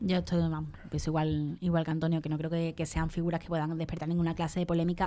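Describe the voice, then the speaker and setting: This woman has a fairly low pitch and a dark, mellow tone. Her intonation stays monotone and flat. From Andalusia. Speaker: radio columnist. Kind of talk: radio panel discussion.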